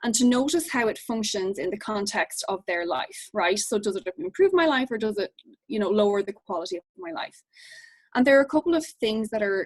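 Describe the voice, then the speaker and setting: A woman's fairly high voice with very wide pitch swings at a fairly quick pace, dry and close with no echo. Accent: Irish. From Ireland. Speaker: behavior analyst. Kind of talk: lecture. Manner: fast.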